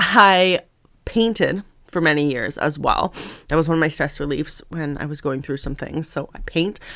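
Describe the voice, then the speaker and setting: A woman's very deep, low voice with a Canadian accent, bright, sharp and animated in tone, at a moderate pace with ordinary pitch variation, on a very clean recording with a silent background. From Canada, Ontario (Lake Erie island). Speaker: author. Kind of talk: casual vlog talk. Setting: sitting at desk. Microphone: new microphone.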